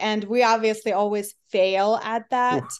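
A woman speaks at a fairly high pitch. The background is quiet. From Eastern Europe. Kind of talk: casual interview.

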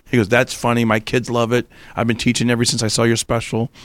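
This man talks at a very fast pace, his pitch medium. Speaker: comedian. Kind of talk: casual chat.

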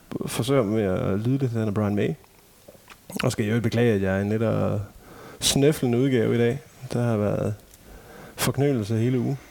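Over noticeable background noise, a man of medium pitch speaks. His intonation is lively and his pace fairly slow. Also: long, frequent pauses. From Denmark, Ikast (central Jutland). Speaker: tribute band member. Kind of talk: casual chat.

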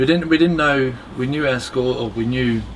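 A speaker with an Australian accent is heard with audible room echo and noticeable background noise. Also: man. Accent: Australian, non-UK. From Australia, Melbourne. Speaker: competition barista. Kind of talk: casual interview chat.

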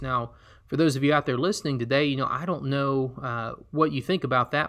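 A man's fairly high, bright, sharp voice in an Alabama accent, with ordinary pitch variation against a quiet background. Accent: Southern US (Alabama). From US South, Alabama. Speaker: podcast host and missionary. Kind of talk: solo podcast storytelling.

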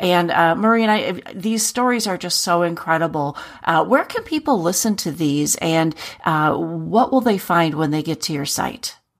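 A woman speaks in a plain, everyday voice with fairly low pitch. Her intonation is lively and her pace moderate. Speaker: podcast host. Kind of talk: interview-style podcast hosting.

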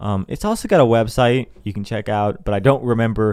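The recording of this man's voice is very clean, with a silent background. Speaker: podcast host. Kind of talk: casual solo podcast monologue. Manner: halting, many fillers and restarts.

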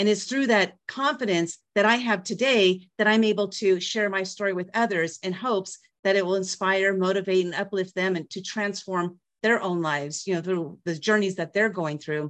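At a moderate pace and with hardly any pauses, the speaker uses a plain, everyday voice. Pitch varies in an ordinary way. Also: woman, medium pitch for a woman. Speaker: author, empowerment speaker. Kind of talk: testimony. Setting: video call.

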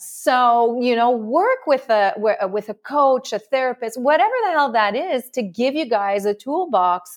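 Against a quiet background, a woman with a slight French accent speaks at a fairly slow pace and a high pitch, with hardly any pauses. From France. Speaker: love and relationship coach. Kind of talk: interview.

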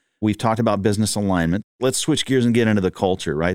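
A man speaks with a Texan accent. The recording is very clean, with a silent background. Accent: Texan Southern US. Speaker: podcast host. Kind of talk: interview conversation.

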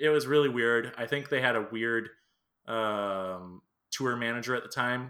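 It's an unremarkable speaking voice, a man at medium pitch with fairly even intonation. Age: 30s. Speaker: podcast host, musician. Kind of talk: casual chat.

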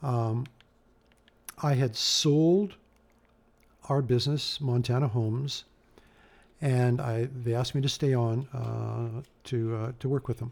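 With a somewhat breathy voice at a medium pitch, a man speaks at a fairly slow pace with long, frequent pauses and fairly even intonation on a very clean recording with a silent background. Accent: Canadian Prairie. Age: 60s. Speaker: hot rod builder. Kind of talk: interview.

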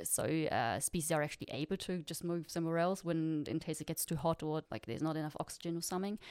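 This woman has a very deep, low pitch with ordinary pitch variation. She talks at a very fast pace. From Germany. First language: German. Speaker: postdoc researcher. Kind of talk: interview chat.

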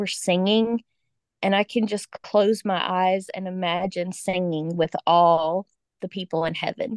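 A woman with a Southern US accent is heard with a dry, close sound and no echo. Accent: Southern American. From Georgia, US South. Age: 40s. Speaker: special education teacher, grieving daughter. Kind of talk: personal testimony in interview.

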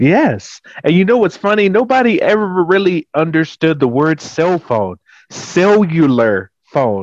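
Recorded dry and close with no echo, a man with an American accent speaks at a fairly slow pace in a high pitch for a man, his pitch swinging very widely while his loudness stays very even. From Texas. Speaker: social media content creator. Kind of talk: casual chat.

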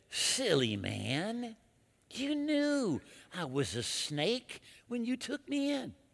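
A put-on character voice, fairly high in pitch and very slow, on a very clean recording with a silent background. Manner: sneering.

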